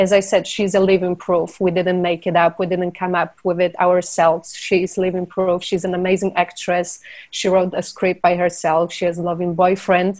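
A woman with a Polish accent speaks at medium pitch and a moderate pace, in a monotone, flat delivery with hardly any pauses. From Poland. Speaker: film producer. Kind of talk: interview.

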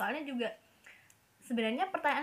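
A woman talks at a moderate pace in a fairly high pitch with a fairly bright tone.

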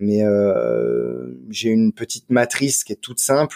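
Dark and mellow in tone, a man's voice comes through dry and close with no echo, on a very clean recording with a silent background. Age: 30s. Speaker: wine marketing director. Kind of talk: podcast interview.

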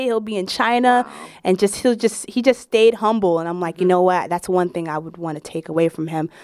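On a very clean recording with a silent background, a woman with a Brooklyn accent talks at a fairly quick pace with lively intonation. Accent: New York (Brooklyn). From Brooklyn, New York. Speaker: stand-up comedian. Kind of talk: casual interview.

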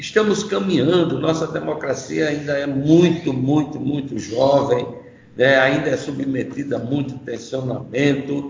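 Against noticeable background noise and audible room echo, a man with a fairly high voice talks at a fairly slow pace with ordinary pitch variation. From Northeast Brazil, Maceió, Alagoas. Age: 70s. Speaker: environmentalist and journalist, river basin committee president. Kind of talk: interview.

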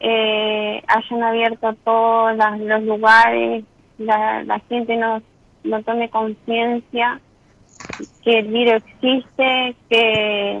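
A woman talks at a very slow pace in a fairly high voice. Her intonation is monotone and flat. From Argentina, Entre Ríos. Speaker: caller, health worker. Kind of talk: personal testimony.

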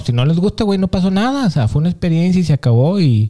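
A man speaks with a Mexican accent and a dark, mellow tone. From Mexico. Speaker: podcast co-host. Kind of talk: casual chat.

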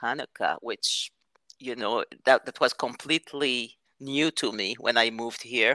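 A woman speaks with a bright, sharp tone and ordinary pitch variation. The sound is dry and close, with no echo. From France, Marseille. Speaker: conference interpreter. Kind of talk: casual chat.

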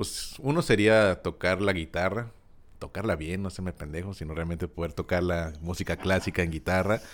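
At a fairly slow pace, the voice comes through in a very clean recording with a silent background. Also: man. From Mexico, Guadalajara. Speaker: podcast co-host, teacher. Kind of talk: casual chat.

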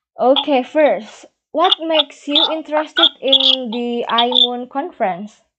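Speaking with an Indonesian accent, a woman talks at a fairly slow pace in a high pitch with lively intonation. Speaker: podcast host. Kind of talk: interview. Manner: halting, non-fluent English.

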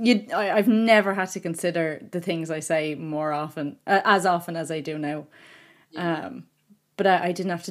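This woman speaks with an Irish accent. Her pitch sits fairly low. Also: very clean recording, silent background. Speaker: podcast host and book reviewer. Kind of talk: casual interview. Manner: nervous, excited.

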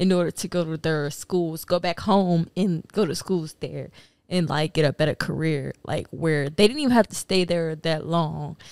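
In a very clean recording with a silent background and a dry, close sound with no echo, a woman speaks with a very deep, low pitch and fairly even intonation. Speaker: podcast guest. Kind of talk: casual chat.

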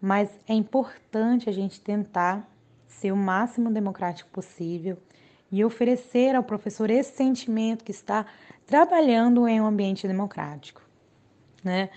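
This is an unremarkable speaking voice, going at a moderate pace with pitch that varies in an ordinary way. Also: woman, fairly high pitch for a woman. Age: 20s. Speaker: special education teacher. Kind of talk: interview.

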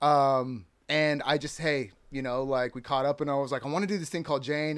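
A man with a plain, everyday voice and an American accent speaks at a fairly quick pace and fairly high pitch with fairly even intonation, on a very clean recording with a silent background. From California. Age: 40s. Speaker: filmmaker. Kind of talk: casual chat. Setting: studio.

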